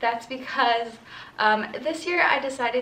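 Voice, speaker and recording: A woman's voice, moderate in pace and ordinary in pitch variation, carries noticeable background noise and audible room echo. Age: 20s. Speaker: lifestyle vlogger. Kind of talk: casual haul vlog. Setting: friend's quiet apartment. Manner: chatty, filler-heavy.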